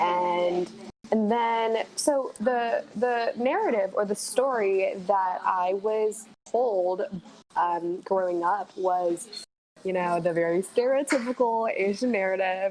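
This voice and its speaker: A woman speaks at a very slow pace and a medium pitch. Her loudness stays very even. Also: ordinary pitch variation. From Taiwan, Taichung. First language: Mandarin Chinese. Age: 20s. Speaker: college dropout guest. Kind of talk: podcast interview. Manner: hesitant, with fillers and repeats.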